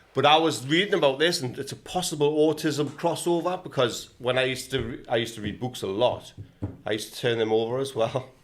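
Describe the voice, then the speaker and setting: With a northern English accent, a man rattles along at a very fast pace, his medium pitch showing ordinary variation. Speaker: podcast guest. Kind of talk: casual chat.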